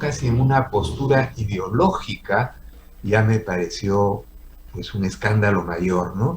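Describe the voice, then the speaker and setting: Somewhat breathy and medium-pitched, a man talks at a fairly slow pace with lively intonation. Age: 70s. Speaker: comic artist. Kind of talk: personal testimony.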